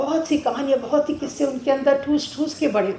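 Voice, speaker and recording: A woman's voice with a high pitch. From Delhi, India. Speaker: writer and storyteller. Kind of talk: memorial speech. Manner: halting.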